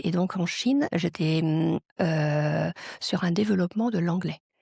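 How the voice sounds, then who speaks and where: A woman speaks slowly-ish, at a fairly slow pace and fairly low pitch, with ordinary pitch variation, a somewhat breathy, dark, mellow tone, and a dry, close sound with no echo. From France. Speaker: global mobility professional. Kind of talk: interview. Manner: hesitant fillers.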